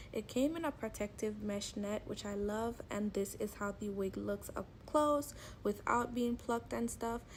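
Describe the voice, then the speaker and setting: A woman's somewhat breathy, fairly high voice at a fairly slow pace. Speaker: beauty vlogger. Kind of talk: product review voiceover.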